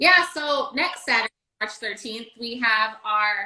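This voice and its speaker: A woman with a bright, sharp tone speaks at a very slow pace. Her voice is raised and projected. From New England, New Hampshire. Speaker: chef. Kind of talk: casual chat.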